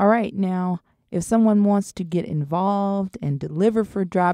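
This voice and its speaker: On a very clean, dry, close recording with a silent background and no echo, a woman with a slight Southern US accent talks at a moderate pace in a medium-pitched, dark, mellow tone. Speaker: podcast host. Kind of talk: interview.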